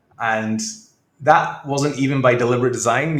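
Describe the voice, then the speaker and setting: With audible room echo, a man at a medium pitch speaks at a very fast pace. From northeast Scotland. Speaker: tech executive. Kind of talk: interview. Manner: hesitant, with many fillers.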